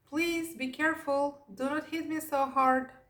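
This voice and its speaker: Putting on a character voice, a woman speaks high at a moderate pace. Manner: pleading, beseeching.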